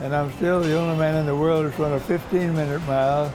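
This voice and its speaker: A man's fairly high voice at a fairly quick pace with fairly even intonation, audible room echo and music in the background. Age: 90s. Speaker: retired pilot, runner. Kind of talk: interview.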